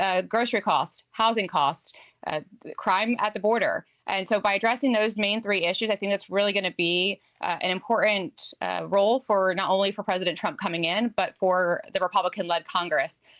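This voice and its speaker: A woman's medium-pitched voice at a moderate pace, with ordinary pitch variation and a dry, close sound with no echo. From New Jersey. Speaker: political strategist. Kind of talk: TV news interview answer.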